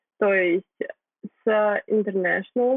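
A woman speaks in an unremarkable speaking voice with ordinary pitch variation. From Kyrgyzstan. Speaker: blogger, marketing graduate. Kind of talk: casual interview.

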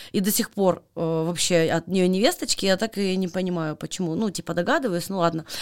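This is a woman speaking. Her pitch is medium. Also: very clean recording, silent background. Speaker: podcast host. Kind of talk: casual chat. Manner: animated.

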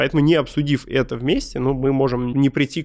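Here is a man's voice. His pitch sits in the medium range. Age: 30s. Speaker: head of a project office. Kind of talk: interview. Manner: animated.

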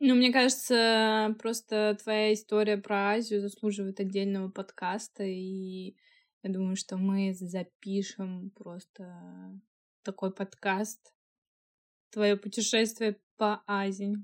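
A woman's medium-pitched, monotone, flat delivery at a very slow pace, with long, frequent pauses and a dry, close sound with no echo. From Russia, Moscow. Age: 20s. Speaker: podcast co-host, technical designer. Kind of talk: casual chat.

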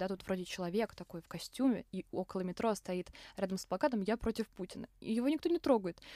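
Speech at a very fast pace with lively intonation comes through dry and close with no echo, on a very clean recording with a silent background. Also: woman. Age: young. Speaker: podcast host, journalism student. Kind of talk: casual chat.

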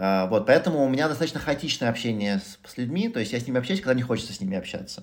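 A man's very fast speech with lively intonation. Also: medium pitch for a man. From Moscow, Russia. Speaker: entrepreneur, former tech executive. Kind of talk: interview conversation. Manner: hesitant, many filler sounds.

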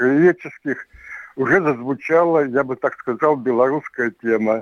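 This man talks at a fairly slow pace in a fairly high voice. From Siberia, Omsk region. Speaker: writer and local historian. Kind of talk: interview. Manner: halting, full of filler words.

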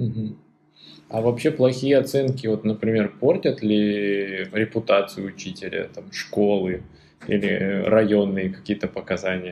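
Over a quiet background, a man speaks slowly-ish, at a fairly slow pace, in a normal speaking voice. His pitch is fairly low, with ordinary pitch variation. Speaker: podcast co-host. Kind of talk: casual chat.

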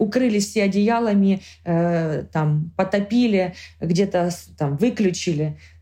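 A woman speaks very slowly at a medium pitch with ordinary pitch variation. Her voice is somewhat breathy, with a dark, mellow tone. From Ukraine, Kharkiv. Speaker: war refugee. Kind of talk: personal testimony.

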